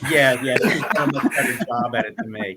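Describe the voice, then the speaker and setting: At a moderate pace, a man speaks with a New York accent. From New York, Long Island. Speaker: author and mindset coach. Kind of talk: interview.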